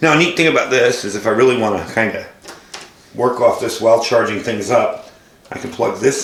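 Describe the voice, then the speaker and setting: A man speaks at a fairly quick pace. Audible room echo and noticeable background noise fill the recording. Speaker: product reviewer. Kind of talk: product demonstration. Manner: casual.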